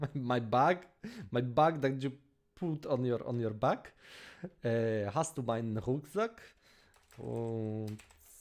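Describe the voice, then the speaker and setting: A very slow delivery in a Polish accent, long and frequent pauses, ordinary pitch variation. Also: man, medium pitch for a man. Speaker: language-learning streamer. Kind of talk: live stream language practice. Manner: halting, many fillers and restarts.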